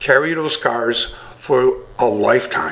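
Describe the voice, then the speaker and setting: A man speaks over noticeable background noise. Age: 60s. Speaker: bullying expert. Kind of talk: radio interview. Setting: radio show.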